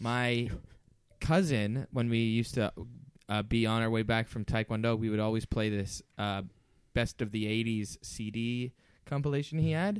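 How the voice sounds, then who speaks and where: In an American accent, a man with a medium pitch and ordinary pitch variation speaks at a moderate pace on a very clean recording with a silent background. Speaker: podcast co-host. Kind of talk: casual chat. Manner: halting, many fillers.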